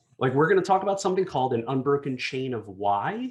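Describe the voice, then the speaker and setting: Speaking with a New Jersey accent, a man talks at a fairly quick pace. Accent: New Jersey American. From New Jersey, US. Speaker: design executive. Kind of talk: conference talk. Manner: fast.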